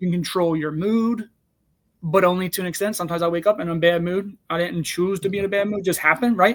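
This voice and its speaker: Speaking at a very fast pace, a man uses a high voice. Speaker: podcast co-host. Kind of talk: casual conversational podcast. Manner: fast when excited; hesitant, many fillers.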